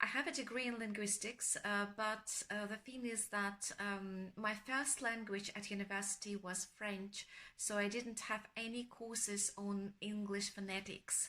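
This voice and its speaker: Her tone is bright and sharp, at a medium pitch for a woman, with fairly even intonation. She talks at a fairly slow pace with hardly any pauses. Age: 40s. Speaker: accent course student. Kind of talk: prepared video testimonial.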